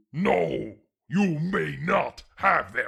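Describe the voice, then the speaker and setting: This is a put-on character voice. It growls. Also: man. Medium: audio drama. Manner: haughty, imperious.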